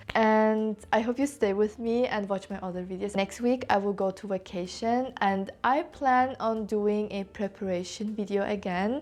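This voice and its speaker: A woman with a non-native accent, fairly high pitch and fairly even intonation, at a moderate pace with hardly any pauses, over a quiet background. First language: not English. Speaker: lifestyle vlogger. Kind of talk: casual vlog talk to camera. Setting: sitting in a home corner.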